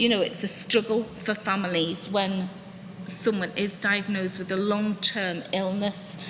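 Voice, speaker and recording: A woman's words come at a fairly slow pace while noticeable background noise carries on. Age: 60s. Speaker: patient sharing her story, former teacher. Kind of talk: testimony.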